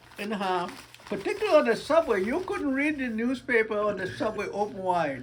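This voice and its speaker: Over noticeable background noise, a man speaks at a fairly quick pace and high pitch, his voice making very wide pitch swings. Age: 80s+. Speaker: retiree. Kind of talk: interview answer.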